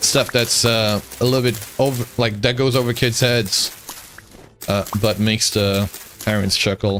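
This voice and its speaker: Over music in the background, a man with a medium pitch speaks in a relaxed tone at a moderate pace. His intonation is fairly even, his loudness very even, and he takes long, frequent pauses. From born in Eastern Europe (Moldova), grew up in the US. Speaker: gaming streamer. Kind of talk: casual chat while gaming, reading chat. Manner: relaxed, filler-heavy.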